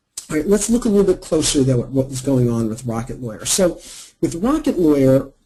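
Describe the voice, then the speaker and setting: Somewhat breathy and dark, mellow in tone, a man's fairly high voice swings very widely in pitch. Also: fairly quick pace. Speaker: marketing consultant. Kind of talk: webinar presentation. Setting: online webinar. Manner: fast.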